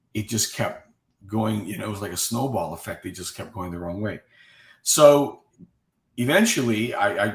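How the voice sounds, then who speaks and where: A man with a fairly low pitch speaks at a moderate pace, somewhat breathy and with ordinary pitch variation. His loudness swings widely, and he leaves long, frequent pauses. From Cuba. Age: 60s. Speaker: guest sharing health recovery story. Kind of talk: interview testimony. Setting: live online video chat.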